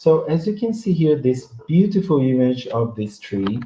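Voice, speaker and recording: Somewhat breathy and dark, mellow in tone, a man talks at a fairly slow pace. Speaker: professor. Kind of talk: lecture. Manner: halting.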